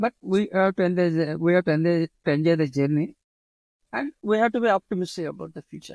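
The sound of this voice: With an Indian accent, a man talks fast in a high voice with vocal fry and a slightly mellow tone, recorded dry and close with no echo. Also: ordinary pitch variation.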